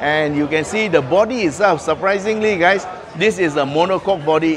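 At a moderate pace, a man speaks with ordinary pitch variation over noticeable background noise. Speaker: car reviewer. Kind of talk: walkaround review commentary. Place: hall. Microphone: phone near.

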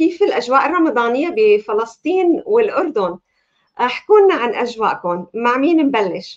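A woman speaks with a warm tone at a moderate pace. Her pitch swings very widely. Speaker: talk show host and life coach. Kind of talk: live talk show. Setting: video call. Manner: warm, welcoming. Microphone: webcam.

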